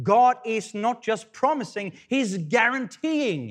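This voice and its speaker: A man speaks with a Swedish accent and very wide pitch swings. The recording is very clean, with a silent background. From Sweden. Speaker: pastor. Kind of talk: sermon. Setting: church. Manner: halting, with repetitions.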